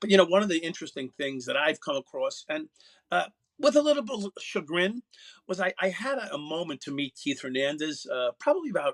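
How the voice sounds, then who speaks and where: In a New York accent, a man with a high pitch talks with very wide pitch swings. The sound is dry and close, with no echo. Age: 60s. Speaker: former police officer. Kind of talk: radio interview. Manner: halting, many fillers.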